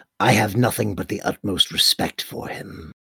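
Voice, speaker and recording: This man's voice is a put-on character. It sits fairly low in pitch. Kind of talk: formal, archaic-leaning speech. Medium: actual play. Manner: formal, measured, reserved.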